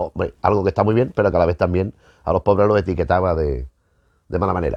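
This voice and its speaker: This man has a very deep, low voice with ordinary pitch variation. He talks at a very fast pace. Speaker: film history youtuber. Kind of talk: casual lecture to camera. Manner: halting, repeats words.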